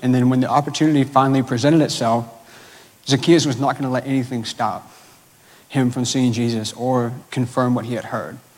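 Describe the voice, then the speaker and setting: With ordinary pitch variation and a fairly quick pace, this is a plain, everyday voice. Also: man. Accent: American. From Georgia, US South. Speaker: church staff member preaching. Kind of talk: sermon. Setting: church. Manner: casual, filler-heavy.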